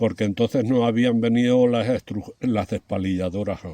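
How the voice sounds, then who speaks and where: In a dry, close recording with no echo, a man speaks at a medium pitch with a dark, mellow tone and ordinary pitch variation. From Spain, Campo Arcís (Valencia region). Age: 70s. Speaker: retired winegrower. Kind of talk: interview, oral history. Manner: halting, with fillers and repetitions.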